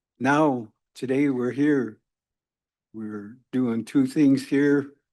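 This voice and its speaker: Quiet surrounds the speaker. He is a man whose intonation stays fairly even. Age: 70s. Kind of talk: speech at a convening.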